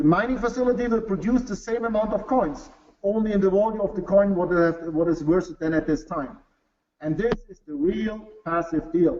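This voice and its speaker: A man with a German accent, high-pitched, at a moderate pace, with ordinary pitch variation and big swings in loudness. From Bavaria, Germany. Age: 40s. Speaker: business executive. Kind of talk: sales pitch. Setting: webinar. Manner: halting.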